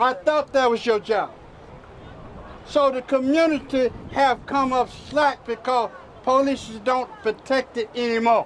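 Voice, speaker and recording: Crowd noise fills the background as a man speaks at an extremely high pitch. He leaves long, frequent pauses and keeps his intonation fairly even. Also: fairly slow pace. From US South (Mississippi). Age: 70s. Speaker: preacher. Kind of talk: protest speech.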